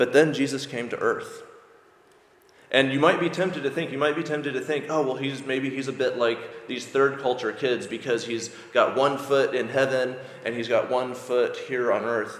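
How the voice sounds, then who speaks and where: A man's fairly high voice with an American accent, fairly even intonation and a moderate pace, against noticeable background noise. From US. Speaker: preacher. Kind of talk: sermon. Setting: church.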